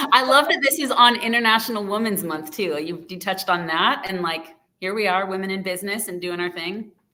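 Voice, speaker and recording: A normal speaking voice from a woman at a medium pitch, fairly quick with hardly any pauses, lively intonation and big swings in loudness. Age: 30s. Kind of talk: interview.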